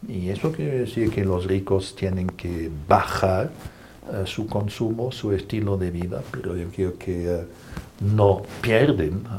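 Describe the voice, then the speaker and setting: A man with a German accent speaks very slowly at a fairly low pitch, with noticeable background noise and audible room echo. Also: ordinary pitch variation. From Germany. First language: German (speaking Spanish). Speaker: Jesuit priest. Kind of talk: interview. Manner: hesitant, many fillers.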